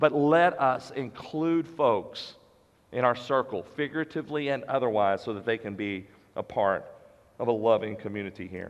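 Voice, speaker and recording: The speaker is a man at a medium pitch. He talks at a moderate pace. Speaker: pastor. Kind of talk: sermon. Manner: loud.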